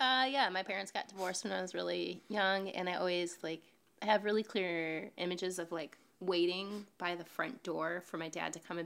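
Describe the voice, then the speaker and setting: Vocal fry runs through this moderately paced delivery in an American accent, with ordinary pitch variation. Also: woman. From Western New York. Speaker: podcast participant on a date. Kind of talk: casual chat.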